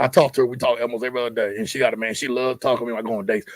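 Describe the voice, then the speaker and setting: Ordinary pitch variation marks a man's voice at a medium pitch. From Texas (Allerton, near Sealy). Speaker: podcast guest. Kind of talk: casual chat. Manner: loud; animated.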